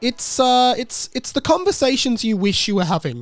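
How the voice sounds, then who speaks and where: Here is a man speaking with an Australian accent. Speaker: podcast host. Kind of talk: casual podcast monologue. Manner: low energy; halting.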